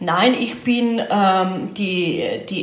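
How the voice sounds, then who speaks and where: Lively intonation from a woman, with noticeable background noise and audible room echo. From Slovenia. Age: 40s. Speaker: offroad rally co-driver. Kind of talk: interview.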